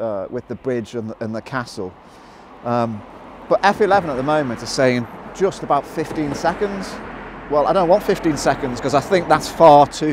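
A man speaks at a moderate pace. The sound is dry with no echo, with noticeable background noise. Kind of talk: tutorial. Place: waterside. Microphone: phone near.

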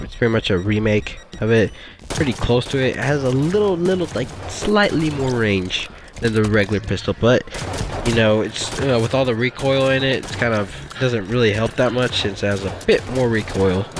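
A man's voice shows ordinary pitch variation, and noticeable background noise runs behind it. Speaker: gamer. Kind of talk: casual gameplay commentary. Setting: background noise at home. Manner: excited.

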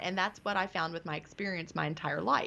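A woman with a bright, sharp tone speaks with ordinary pitch variation. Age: 50s. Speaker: author. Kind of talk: interview.

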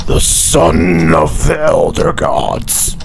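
A man uses a put-on character voice. Loud background noise surrounds him. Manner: demonic.

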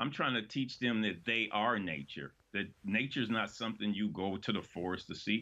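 This man has a fairly low voice and talks at a moderate pace with hardly any pauses. His pitch varies an ordinary amount. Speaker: community gardener and activist; guest. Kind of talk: interview. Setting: remote video link. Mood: earnest, reflective, some humor. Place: home room. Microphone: webcam.

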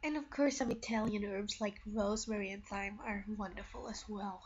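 The speaker is a woman. Noticeable background noise runs under her voice. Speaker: home cook vlogger. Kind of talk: cooking demonstration to camera.

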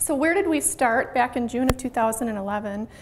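A woman speaks in a high pitch. There is light background noise. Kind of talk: presentation to a club. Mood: friendly, upbeat. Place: meeting room. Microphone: handheld.

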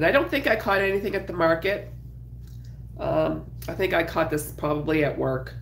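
A woman at a fairly quick pace, broken by long, frequent pauses, with noticeable background noise. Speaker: crafter and YouTuber. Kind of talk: casual live chat while crocheting. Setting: live stream at home. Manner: casual, chatty, with filler words.

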